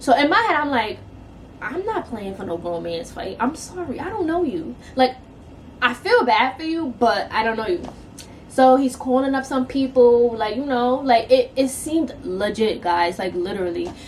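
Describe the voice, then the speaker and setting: A voice in a New York accent at a moderate pace, with very wide pitch swings and noticeable background noise. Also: woman, high pitch for a woman. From New York City. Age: 20s. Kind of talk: casual story time to camera.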